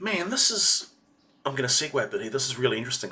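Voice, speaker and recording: A man speaks with a New Zealand accent. His pace is very fast. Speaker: video reactor. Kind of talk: reaction commentary. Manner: halting.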